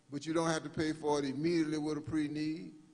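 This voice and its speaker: In an American accent, a man talks with audible room echo around him. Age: 60s. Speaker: funeral director. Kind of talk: workshop presentation. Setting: live-streamed church workshop.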